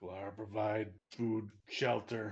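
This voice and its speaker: A put-on character voice from a man, raspy and fairly low in pitch, with monotone, flat intonation. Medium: actual play. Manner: broken, clipped speech.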